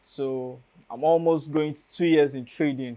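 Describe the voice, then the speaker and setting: Against a quiet background, a man with a Nigerian accent speaks at a fairly slow pace in a fairly high, monotone, flat voice. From Nigeria, Enugu State. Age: young. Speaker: university student and trader. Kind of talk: interview.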